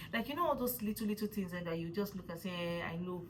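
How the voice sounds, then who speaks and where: With a Nigerian accent, a woman speaks at a medium pitch and ordinary pitch variation. Noticeable background noise runs beneath her. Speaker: vlogger. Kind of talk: casual vlog talk. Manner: fast; animated.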